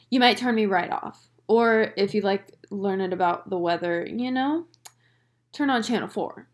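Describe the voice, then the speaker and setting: In a slight Southern US accent, a woman speaks at a medium pitch with ordinary pitch variation, recorded very cleanly against a silent background. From North Carolina, US South. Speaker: podcast host and photographer. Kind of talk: solo casual monologue. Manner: casual, chatty.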